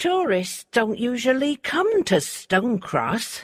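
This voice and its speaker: A woman puts on a character voice with a high pitch and very wide pitch swings. She speaks at a fairly slow pace, the sound dry and close with no echo. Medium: read story. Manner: cold, unfriendly.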